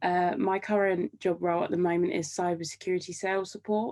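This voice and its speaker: Speaking with a British accent, a woman talks at a fairly low pitch. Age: 20s. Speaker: degree apprentice. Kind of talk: casual interview. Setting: video call.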